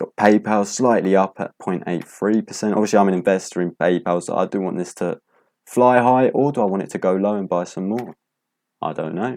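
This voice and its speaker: Fairly low-pitched man with a British accent, fairly quick pace and ordinary pitch variation, over a quiet background. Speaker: stock market youtuber. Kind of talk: casual market recap. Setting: home, late at night.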